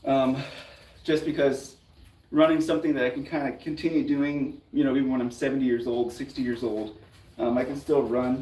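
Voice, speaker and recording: He talks at a fairly quick pace. This man has an ordinary speaking voice and a fairly high pitch. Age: 30s. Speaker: fitness youtuber. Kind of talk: casual chat. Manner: casual, filler-heavy.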